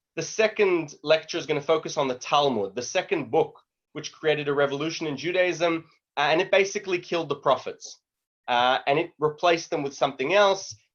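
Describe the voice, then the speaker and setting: A man talks at a fairly quick pace in a fairly high pitch, his pitch variation ordinary. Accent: Australian. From Australia. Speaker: lecturer on Judaism. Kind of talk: online lecture. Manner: casual, conversational.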